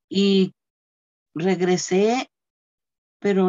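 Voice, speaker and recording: A woman is speaking here. Her pitch is medium. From Mexico, Guerrero. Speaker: church member sharing testimony. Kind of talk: testimony.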